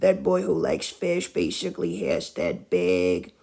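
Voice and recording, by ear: A man's raspy voice has vocal fry, a slightly husky edge, a slightly mellow tone and lively intonation.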